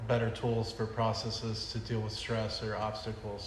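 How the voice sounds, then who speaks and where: A man speaks in a monotone, flat intonation. Audible room echo and noticeable background noise surround his voice. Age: 30s. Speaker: podcast host, military veteran. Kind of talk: podcast interview.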